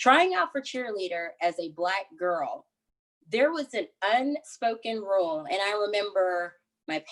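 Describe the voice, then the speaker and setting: A woman's medium-pitched voice with an American accent, an unremarkable speaking voice, and lively intonation. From East Texas, small town. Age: 30s. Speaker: interviewee sharing experience of racism. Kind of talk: interview, personal testimony.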